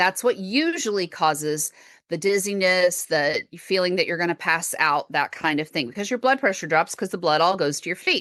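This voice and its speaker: A woman with a Texan accent speaks at a fairly low pitch in a bright, sharp tone. Her moderate pace comes through a dry, close sound with no echo. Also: quiet background. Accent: Texan US Southern. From Texas. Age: 40s. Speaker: podcast host and chronic illness patient. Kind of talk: interview conversation.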